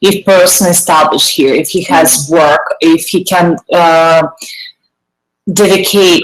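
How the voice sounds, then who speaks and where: Speaking with a Russian accent, a woman uses a fairly low pitch. Her pace is fairly slow. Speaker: panelist. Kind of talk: casual debate. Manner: halting.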